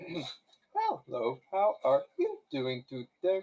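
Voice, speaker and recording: A man puts on a character voice, pitched high. He speaks at a very slow pace. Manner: polite, greeting.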